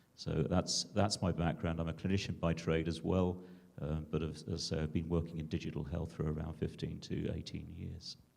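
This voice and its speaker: This man's voice is very deep and low. He talks fairly quickly in a monotone, flat delivery. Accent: British. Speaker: digital health entrepreneur and clinician. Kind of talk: conference panel discussion.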